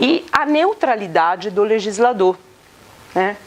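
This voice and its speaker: A woman with an Italian accent speaks at a very slow pace, her fairly high pitch moving in very wide swings, with noticeable background noise behind her. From Italy. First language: Italian (speaking Portuguese). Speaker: law professor. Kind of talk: lecture. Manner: interactive, many hesitations and tag questions.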